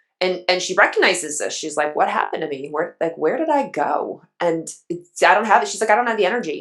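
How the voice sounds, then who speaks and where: A woman at a very fast pace with hardly any pauses, music in the background. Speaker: hormone educator. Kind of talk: podcast interview. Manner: animated.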